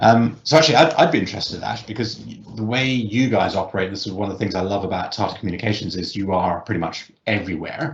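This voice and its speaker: A man's fairly low, somewhat breathy voice with a British accent, very fast with hardly any pauses and lively intonation, in audible room echo. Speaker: technology company representative. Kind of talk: panel discussion. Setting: virtual event. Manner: hesitant, many fillers.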